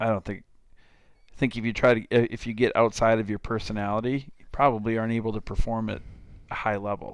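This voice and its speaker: A man with a Minnesota accent at medium pitch, fairly quick pace and fairly even intonation. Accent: Upper Midwest (Minnesota) American. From southern Minnesota, small town. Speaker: baseball club owner and coach. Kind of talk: casual interview chat.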